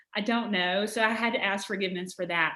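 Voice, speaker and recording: A woman speaks with a Southern US accent. Her pitch sits in the medium range with ordinary pitch variation. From Alabama. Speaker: author. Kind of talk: interview answer.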